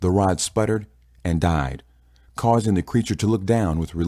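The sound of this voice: The reading comes in an unforced voice whose pitch varies in an ordinary way.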